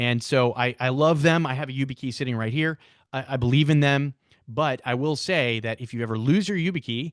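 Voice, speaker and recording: The sound is dry and close with no echo, over a quiet background. A man speaks fairly quickly at a medium pitch with ordinary pitch variation. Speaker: software product owner. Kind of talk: livestream tutorial. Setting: livestream. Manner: fast.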